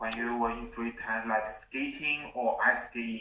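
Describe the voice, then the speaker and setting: With a Chinese accent, a man speaks fairly slowly at a medium pitch, his tone bright and sharp and his pitch variation ordinary. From China. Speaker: English learner. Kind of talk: casual chat. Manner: halting.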